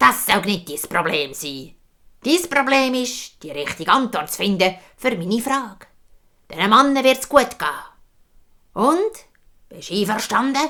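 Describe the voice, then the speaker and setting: A woman does a put-on character voice at a fairly high pitch, with very wide pitch swings and big swings in loudness. She keeps a moderate pace broken by long, frequent pauses. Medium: read story. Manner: calm, knowing, firm.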